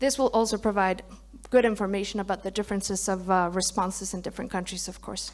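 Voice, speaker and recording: This woman talks very fast at a medium pitch, with fairly even intonation. Vocal fry runs through her voice. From Mexico. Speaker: pharmaceutical clinical development lead. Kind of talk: conference presentation.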